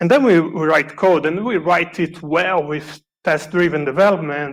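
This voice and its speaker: A fairly high-pitched male voice with a Brazilian Portuguese accent, moderate pace and ordinary pitch variation. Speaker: software developer, conference speaker. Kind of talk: conference talk. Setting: conference stage, also streamed online.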